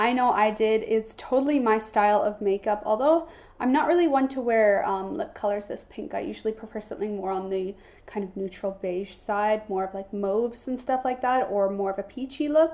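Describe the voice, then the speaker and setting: An ordinary speaking voice from a woman with a Canadian accent, fairly high in pitch with ordinary variation, at a fairly quick pace. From Canada, Toronto. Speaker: beauty vlogger. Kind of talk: makeup tutorial. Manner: casual, chatty.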